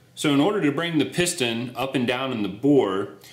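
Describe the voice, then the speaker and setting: There is audible room echo in this recording. A man speaks at a moderate pace. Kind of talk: tutorial.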